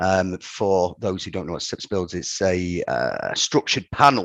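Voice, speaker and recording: A man with a northern English accent. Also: dry, close sound with no echo. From northern England, Ramsbottom, Lancashire. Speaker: company director. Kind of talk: podcast interview. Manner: halting, many repetitions.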